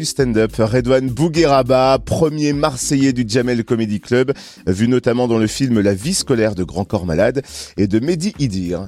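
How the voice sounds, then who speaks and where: Over music in the background, a man talks at a medium pitch and a fairly slow pace. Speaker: radio reporter. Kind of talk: radio interview.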